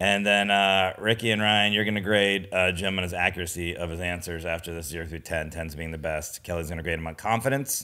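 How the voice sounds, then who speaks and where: Against a quiet background, a man with an American accent and a very deep, low pitch talks at a fairly quick pace with hardly any pauses, a bright, sharp tone and fairly even intonation. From United States. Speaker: comedian and podcast co-host. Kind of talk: casual chat. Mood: jokey, light. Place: home room. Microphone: studio mic.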